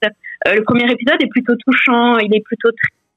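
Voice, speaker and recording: The woman's pitch is high, her intonation fairly even, and her pace moderate. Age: young. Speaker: podcaster. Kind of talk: interview. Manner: hesitant.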